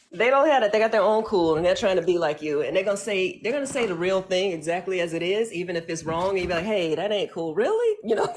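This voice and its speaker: An American woman with a medium pitch talks at a very fast pace in an animated tone over noticeable background noise. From US North. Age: 40s. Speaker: podcast host. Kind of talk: casual discussion.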